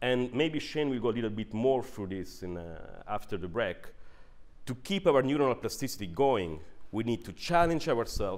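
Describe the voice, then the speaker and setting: With very wide pitch swings, a man talks at a moderate speed from a medium pitch. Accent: Italian. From northern Italy. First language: Italian. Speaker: neuroscientist and managing director. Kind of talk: workshop presentation. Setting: workshop with audience.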